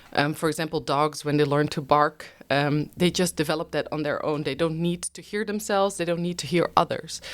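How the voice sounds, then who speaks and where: Speaking at a fairly quick pace with a Dutch accent, a woman with a fairly low pitch is heard on a very clean recording with a silent background. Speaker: neuroscientist. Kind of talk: interview. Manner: frequent fillers (um, uh).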